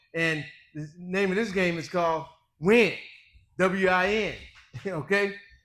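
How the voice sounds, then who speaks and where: Speaking fairly slowly with long, frequent pauses, a man with a high-pitched voice is heard amid audible room echo. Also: ordinary pitch variation. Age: 60s. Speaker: personal trainer and bodybuilder. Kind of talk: motivational talk in podcast. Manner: emphatic, repetitive.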